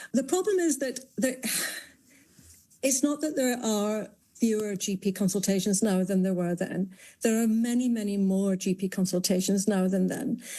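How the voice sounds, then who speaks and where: Against a quiet background, a woman with a British accent talks at a moderate pace in a somewhat breathy voice with a dark, mellow tone. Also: medium pitch for a woman, ordinary pitch variation. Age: 60s. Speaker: GP and health campaigner. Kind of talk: radio interview.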